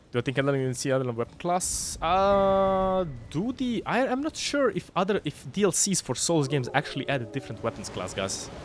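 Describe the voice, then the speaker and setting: With hardly any pauses, a man talks at a fairly quick pace using very wide pitch swings. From Croatia. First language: Croatian. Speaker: video game streamer. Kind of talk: live gameplay stream chat. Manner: casual, halting with restarts.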